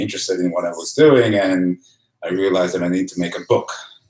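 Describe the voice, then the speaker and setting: This is a man speaking. He has an Israeli accent. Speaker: photographer and author. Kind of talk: live-streamed presentation. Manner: hesitant, many fillers.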